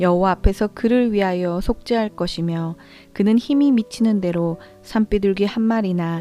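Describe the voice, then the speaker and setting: A woman's medium-pitched voice with ordinary pitch variation at a moderate pace, with music in the background. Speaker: Bible reader. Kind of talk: Bible reading, audio scripture. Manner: soft, calming, suited for night listening.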